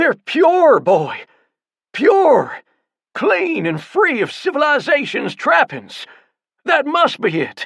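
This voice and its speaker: High-pitched put-on character voice at a very slow pace. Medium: read story. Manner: excitable, fervent.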